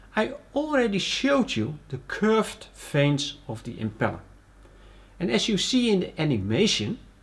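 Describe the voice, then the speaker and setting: A man talks with a high pitch. His pitch swings very widely. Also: moderate pace. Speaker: presenter. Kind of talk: tutorial.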